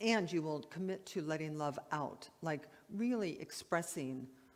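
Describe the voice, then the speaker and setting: In a room with audible echo, a woman with a very deep, low voice talks fairly slowly, her intonation lively. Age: 70s. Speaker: minister. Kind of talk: sermon. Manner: conversational.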